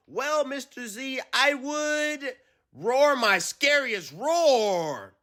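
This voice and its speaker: A put-on character voice with a high pitch drags along at a very slow pace. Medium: read story.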